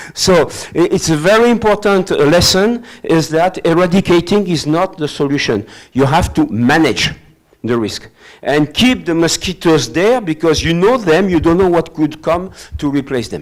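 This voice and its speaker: This man speaks with a French accent and a high pitch. His intonation is lively. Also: moderate pace. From France. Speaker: professor. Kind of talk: lecture. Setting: hybrid webinar. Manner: halting.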